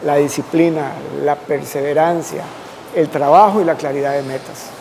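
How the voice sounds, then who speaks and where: A man at a moderate pace with fairly even intonation, noticeable background noise. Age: 60s. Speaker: constitutional lawyer. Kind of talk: interview.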